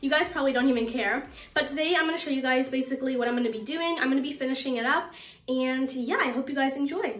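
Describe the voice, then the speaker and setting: A woman with a high pitch talks at a very fast pace with ordinary pitch variation, and audible room echo surrounds her. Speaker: cleaning vlogger. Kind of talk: casual vlog chat. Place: bathroom. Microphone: phone near.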